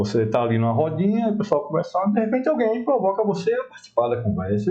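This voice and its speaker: Speaking with a northeastern Brazilian accent, a high-pitched man lets his pitch swing very widely. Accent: local northeastern Brazilian. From Brasília. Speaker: talk show host. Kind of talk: interview.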